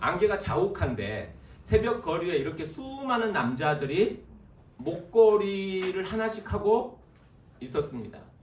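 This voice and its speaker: There is audible room echo and noticeable background noise as a man talks in a high pitch with lively intonation. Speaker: guest preacher. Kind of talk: sermon. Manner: fast.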